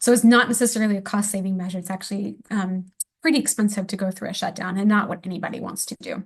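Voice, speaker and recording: A somewhat breathy woman at medium pitch, very fast, with fairly even intonation and big swings in loudness. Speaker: policy manager presenting a webinar. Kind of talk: webinar presentation. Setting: online webinar.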